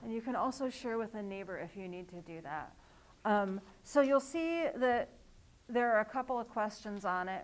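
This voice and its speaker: In an ordinary speaking voice, a woman talks at a moderate pace with a fairly high pitch. Her intonation is lively, and her loudness swings widely. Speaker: author and workshop leader. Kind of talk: workshop presentation. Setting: live event with audience.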